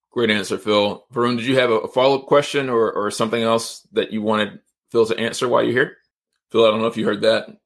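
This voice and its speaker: The delivery is monotone, with flat intonation and an American accent. Words come at a very fast pace. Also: man, medium pitch for a man. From Georgia, US (Atlanta area). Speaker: podcast host. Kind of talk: interview / live-streamed podcast chat. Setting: livestream / online call.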